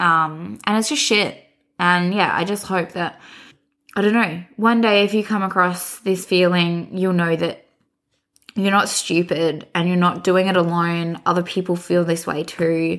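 Speaking at a fairly slow pace, a woman with an Australian accent has a fairly low pitch and fairly even intonation. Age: 20s. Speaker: podcast co-host. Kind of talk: casual chat.

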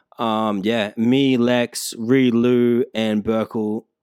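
Speaking in an Australian accent, a man has a medium pitch and monotone, flat intonation. The sound is dry and close, with no echo. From Emerald, Queensland, Australia. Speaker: rapper. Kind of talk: casual chat.

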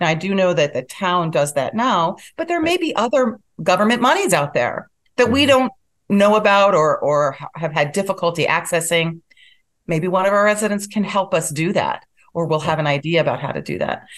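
Speaking in a plain, everyday voice, a woman keeps a moderate pace and her intonation lively. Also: medium pitch for a woman. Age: 60s. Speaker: town board candidate. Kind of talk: interview. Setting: video call.

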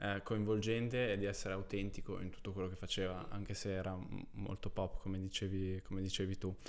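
A man talks at a fairly quick pace in a flat, monotone delivery, with audible echo from the room. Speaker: podcast host. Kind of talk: interview.

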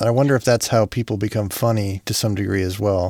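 An ordinary speaking voice comes through at a fairly quick pace with fairly even intonation. The sound is dry and close with no echo, in a very clean recording with a silent background. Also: man. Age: 40s. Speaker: comedy podcast host. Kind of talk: casual chat.

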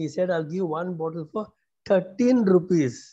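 Speaking at a moderate pace, a man has a high, dark, mellow voice with ordinary pitch variation. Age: 50s. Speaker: job seeker, prayer group member. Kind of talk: testimony.

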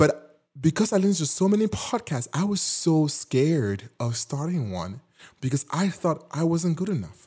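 A man with a non-native accent speaks at a fairly high pitch and moderate pace. His tone is dark and mellow, with very wide pitch swings. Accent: noticeable non-native. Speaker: podcast host. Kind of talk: solo podcast monologue, motivational. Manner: warm, encouraging, animated.

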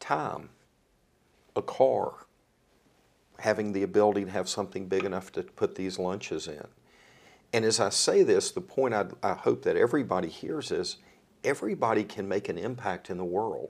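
In a very clean recording with a silent background, a man with a Southern US accent speaks at a moderate pace, leaving long, frequent pauses. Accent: US South. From North Carolina, Rockingham County (Eden). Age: 60s. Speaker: philanthropy advisor. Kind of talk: casual chat.

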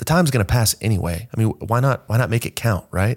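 The delivery is very fast, with ordinary pitch variation. The recording is very clean, with a silent background. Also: man. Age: 20s. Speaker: fitness coach. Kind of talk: casual chat. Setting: in-person studio.

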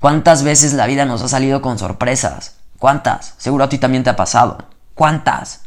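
With a Mexican accent, a man speaks at a moderate pace in a medium pitch and fairly even intonation. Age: 20s. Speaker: podcaster. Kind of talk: motivational monologue. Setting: at home at night before bed. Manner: casual, slangy and spontaneous.

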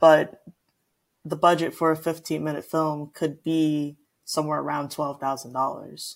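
A woman's very deep, low voice in an American accent, very slow and monotone with flat intonation. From Houston, Texas. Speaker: film student and artist. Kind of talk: interview.

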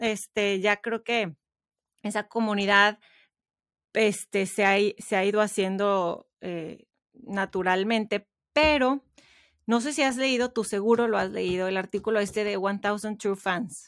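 A woman speaks at medium pitch with fairly even intonation and long, frequent pauses. The sound is dry and close, with no echo. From Mexico. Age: 30s. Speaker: podcaster and writer. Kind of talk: interview conversation.

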